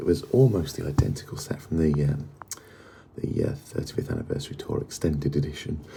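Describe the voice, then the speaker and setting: A quiet man, fairly quick in pace, with very wide pitch swings and noticeable background noise. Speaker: music fan vlogger. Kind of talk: casual vlog. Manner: quiet, hushed; halting, many fillers.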